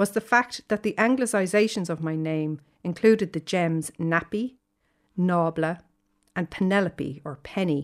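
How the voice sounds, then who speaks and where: A very clean recording with a silent background, ordinary pitch variation, and a moderate pace. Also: woman. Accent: Dublin. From Ireland, Dublin. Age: 50s. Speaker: essayist. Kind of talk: reading aloud.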